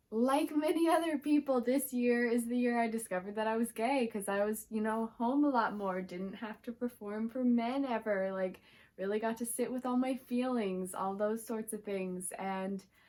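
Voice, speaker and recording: A woman with an unremarkable speaking voice, fairly high pitch, ordinary pitch variation, a moderate pace and hardly any pauses. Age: 20s. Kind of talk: casual talk to camera.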